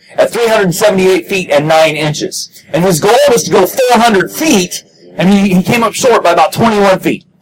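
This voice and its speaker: Noticeable background noise runs beneath speech delivered at a fairly slow pace. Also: man, hardly any pauses. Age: 40s. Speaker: motocross chaplain. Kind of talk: sermon.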